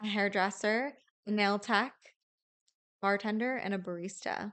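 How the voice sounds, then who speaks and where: The background is quiet as a woman speaks at a medium pitch. She keeps a moderate pace. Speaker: podcast host. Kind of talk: casual chat. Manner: calming.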